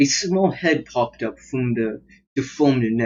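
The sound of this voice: Lively intonation shapes an unforced reading voice, with a quiet background behind it.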